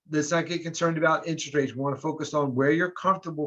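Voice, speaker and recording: This is a man's voice. His pitch sits fairly high. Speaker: mortgage lender. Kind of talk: webinar presentation. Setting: video call. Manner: fast.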